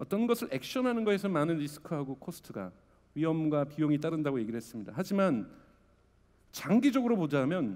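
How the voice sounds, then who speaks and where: At a fairly quick pace, a man talks with a fairly high pitch. His pitch swings very widely. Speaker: media company CEO. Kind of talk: conference talk. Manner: fast.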